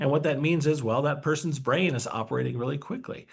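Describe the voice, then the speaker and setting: Lively intonation from a somewhat breathy man with a fairly high pitch. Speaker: neuroscientist co-host. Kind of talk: webinar lecture. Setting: online webinar. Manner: fast.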